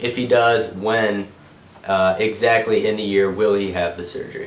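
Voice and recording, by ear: A man's nasal voice, fairly low in pitch, with fairly even intonation and audible room echo. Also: moderate pace.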